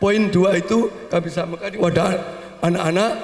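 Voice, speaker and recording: A man with a high pitch, speaking at a fairly slow pace. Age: 70s. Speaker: family elder. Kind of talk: speech at family gathering.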